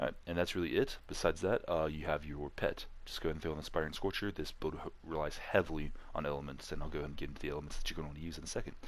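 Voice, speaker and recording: A man's very deep, low voice, very fast, in a monotone with flat intonation. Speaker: gaming YouTuber. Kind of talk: game build tutorial. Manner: casual, many fillers and self-corrections.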